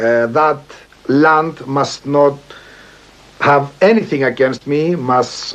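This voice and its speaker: The speech comes at a very slow pace. Noticeable background noise runs throughout. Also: man. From Cyprus, Liopetri near Famagusta. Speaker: poet. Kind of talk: documentary interview. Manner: halting.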